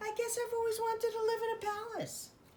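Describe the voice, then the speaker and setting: A woman talks in a squeaky put-on character voice, her pitch extremely high and her intonation flat and monotone, rattling along at a very fast pace over clear background noise. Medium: read story. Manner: innocent, wondering.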